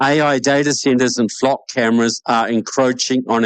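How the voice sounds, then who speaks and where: Over a quiet background, a man speaks at a moderate pace with fairly even intonation and a dry, close sound with no echo. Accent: New Zealand. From New Zealand. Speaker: debate moderator. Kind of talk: debate moderation.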